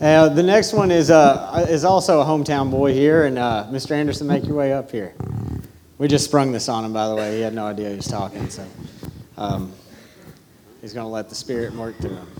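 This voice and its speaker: With a Southern US accent, a man at medium pitch talks at a fairly quick pace, his intonation lively, his loudness swinging widely and his speech broken by long, frequent pauses. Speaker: ministry instructor. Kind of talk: casual speech to congregation.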